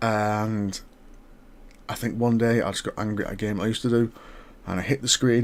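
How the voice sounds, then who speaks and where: The speaker is a man with an English accent. He talks at a fairly quick pace. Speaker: gaming vlogger. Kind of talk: casual monologue. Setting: home at night. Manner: soft-spoken; hesitant.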